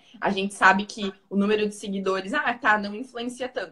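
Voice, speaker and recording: A woman speaks with a strong Paraná accent. Her pace is moderate and her pitch varies in an ordinary way. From Paraná, Brazil. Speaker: physiotherapist and holistic therapist. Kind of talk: interview / personal testimony.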